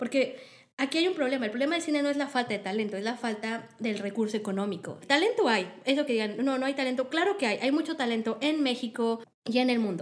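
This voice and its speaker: A high-pitched woman with a Mexican accent, lively intonation and a very fast pace. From Mexico. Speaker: film industry organizer. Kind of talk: interview.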